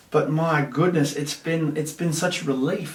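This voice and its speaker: Noticeable background noise and audible room echo surround a man speaking at a fairly high pitch. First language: Russian. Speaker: content creator, former maths teacher. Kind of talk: casual chat. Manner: animated.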